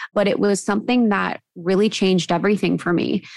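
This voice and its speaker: On a very clean recording with a silent background, a woman with an American accent uses an ordinary speaking voice at a fairly quick pace, with fairly even intonation. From US Midwest (Ohio). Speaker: podcast co-host, guest. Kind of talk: casual interview.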